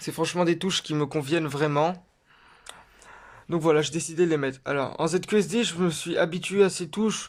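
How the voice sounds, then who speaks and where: The man's voice sits high in pitch, with ordinary pitch variation. He leaves long, frequent pauses. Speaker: gaming youtuber. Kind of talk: tutorial. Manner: halting.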